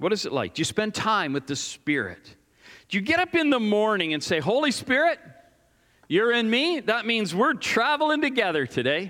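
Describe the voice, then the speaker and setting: In a raised, projected voice, a man talks at a moderate pace with a bright, sharp tone. His pitch is high and swings very widely. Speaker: pastor. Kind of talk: sermon. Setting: church. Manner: loud.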